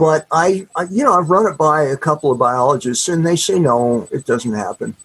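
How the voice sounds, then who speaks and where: With an unremarkable speaking voice, a man talks at a fairly high pitch with lively intonation, recorded in a dry, close sound with no echo. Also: moderate pace. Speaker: author. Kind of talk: casual interview chat. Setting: video call.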